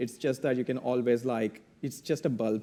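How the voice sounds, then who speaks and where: His pitch is medium and his tone dark and mellow as this man speaks with a non-native accent. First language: not English. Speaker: electrical engineer, panelist. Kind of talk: panel discussion. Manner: halting.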